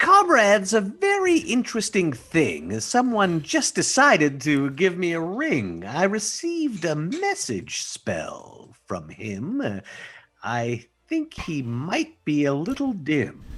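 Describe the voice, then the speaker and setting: A put-on character voice carries a theatrical tone at a middle pitch. The delivery moves at a fairly slow pace. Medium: actual play. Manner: theatrical, rhyming.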